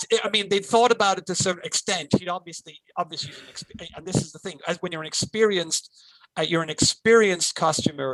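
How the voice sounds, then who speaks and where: A man speaks in a raised, projected voice at a high pitch and a very fast pace, with a passionate tone. His loudness swings widely, his pitch varies in an ordinary way, and the sound is dry and close with no echo. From Wales and Ireland. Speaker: fan convention track director. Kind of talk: interview answer.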